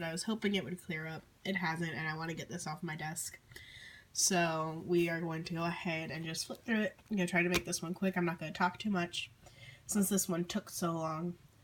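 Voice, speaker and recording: Somewhat breathy and fairly low-pitched, a woman with an American accent speaks with fairly even intonation. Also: fairly quick pace. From Southern United States. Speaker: artist. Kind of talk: casual talk to camera.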